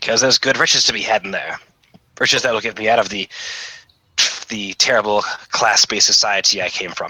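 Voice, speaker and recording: A raspy, put-on character voice moves at a fairly quick pace. Long pauses break up the speech frequently. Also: man, medium pitch for a man. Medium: actual play.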